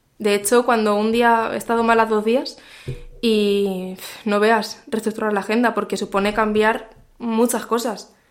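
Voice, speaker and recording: Fairly high in pitch, a woman speaks at a fairly slow pace in a monotone, flat intonation. Her loudness stays very even, and the recording is very clean with a silent background. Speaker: marketing director and podcaster. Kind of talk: interview.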